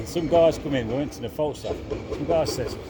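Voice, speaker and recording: An animated man with a fairly high pitch talks at a moderate pace. The room echo is audible, and there is noticeable background noise. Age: 60s. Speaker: local resident. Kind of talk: casual chat.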